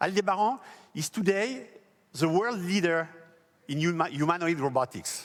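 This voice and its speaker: A man with a high-pitched voice talks at a moderate pace with ordinary pitch variation, recorded very cleanly against a silent background. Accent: French. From France. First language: French. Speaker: company founder. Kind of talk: press event speech. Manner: formal.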